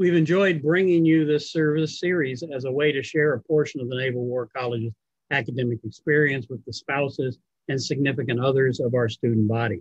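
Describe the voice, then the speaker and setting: A man's somewhat breathy voice at a fairly quick pace, ordinary pitch variation, dry sound with no echo, and a quiet background. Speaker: event host. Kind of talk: formal event introduction. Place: home room. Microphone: video call.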